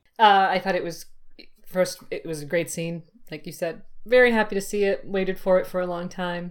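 A woman talks at a fairly quick pace in an ordinary speaking voice, her pitch medium and her intonation fairly even. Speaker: podcaster. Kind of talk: casual chat. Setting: video call.

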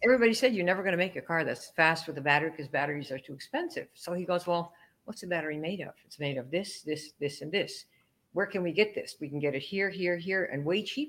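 Speaking very fast, a woman uses a fairly low pitch and lively intonation. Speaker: network marketing trainer. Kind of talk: casual interview chat.

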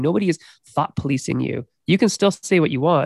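Male voice, fairly high-pitched, with vocal fry, lively intonation and a dry, close sound with no echo. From Canada. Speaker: game designer and professor. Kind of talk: casual chat.

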